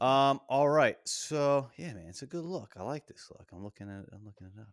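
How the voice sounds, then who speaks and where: In a very clean recording with a silent background, a man with an American accent speaks at a fairly quick pace in a fairly high voice. His pitch swings very widely and his loudness swings a lot. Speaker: podcast host. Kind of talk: casual chat.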